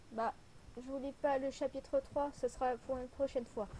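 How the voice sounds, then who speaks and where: Here a woman speaks fairly slowly. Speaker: amateur writer. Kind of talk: reading own story aloud. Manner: soft-spoken.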